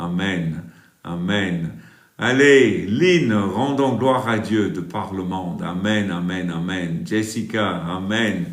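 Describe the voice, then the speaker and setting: A man with a slight British accent and a very deep, low voice speaks with audible room echo. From England. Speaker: live stream preacher. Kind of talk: live stream chat reading comments.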